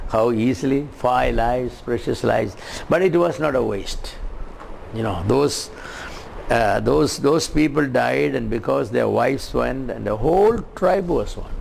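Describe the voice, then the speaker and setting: Speaking at a fairly slow pace, the man is heard with noticeable background noise and audible room echo. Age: 70s. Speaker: preacher. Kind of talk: sermon. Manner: halting.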